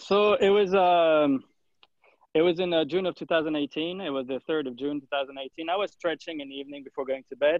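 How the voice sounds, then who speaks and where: A man speaks with a French accent at a fairly high pitch. His pace is fairly quick. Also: ordinary pitch variation. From France. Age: 30s. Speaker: journalist. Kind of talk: podcast interview. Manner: halting, many fillers.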